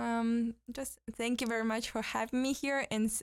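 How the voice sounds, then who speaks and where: A woman's fairly high, monotone voice with flat intonation at a moderate pace, on a very clean recording with a silent background. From western Kazakhstan. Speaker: exchange fellow, civil society activist. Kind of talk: interview. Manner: halting, many fillers.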